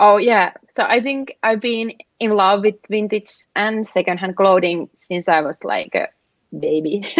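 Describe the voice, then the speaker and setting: A woman speaks in a Finnish accent at a medium pitch. Her pace is fairly slow, with ordinary pitch variation. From Finland. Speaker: app founder. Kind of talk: interview. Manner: halting, many fillers.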